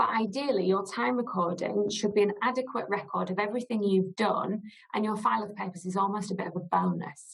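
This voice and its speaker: A woman talks with a slight northern English accent. Her pitch sits fairly high. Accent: slight northern English twang. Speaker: legal director, costs lawyer. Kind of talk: webinar presentation. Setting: webinar.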